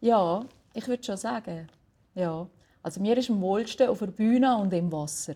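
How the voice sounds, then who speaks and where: Somewhat breathy and dark, mellow in tone, a woman at medium pitch uses lively intonation at a moderate pace, with long, frequent pauses. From Switzerland, Valais. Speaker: jazz singer. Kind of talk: interview. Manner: halting.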